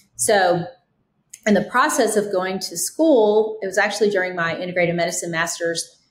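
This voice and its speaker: At a moderate pace, a somewhat breathy voice talks with ordinary pitch variation. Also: woman. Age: 50s. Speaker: physician podcast guest. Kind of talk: interview. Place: home room. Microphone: webcam.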